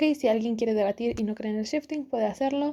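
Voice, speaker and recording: Over a very clean recording with a silent background, a woman with a Mexican accent speaks in a dark, mellow tone at a fairly high pitch with ordinary pitch variation. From Mexico. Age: 20s. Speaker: podcast host. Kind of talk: casual talk to camera.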